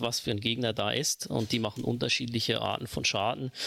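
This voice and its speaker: The speaker talks at a fairly quick pace with fairly even intonation and vocal fry. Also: man. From Switzerland. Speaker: video game player, podcast guest. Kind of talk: casual chat.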